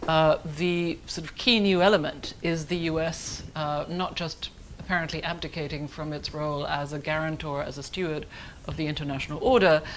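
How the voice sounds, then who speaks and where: The speaker has a German accent and fairly even intonation. Room echo is audible. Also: woman, very deep, low pitch for a woman. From Germany. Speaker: foreign policy analyst. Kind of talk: conference panel talk. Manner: fast.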